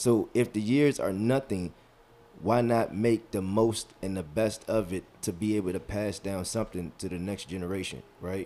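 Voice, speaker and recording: At a moderate pace, a man with a fairly low pitch and a dark, mellow tone speaks with ordinary pitch variation. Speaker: podcast host. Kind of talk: casual chat. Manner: loud.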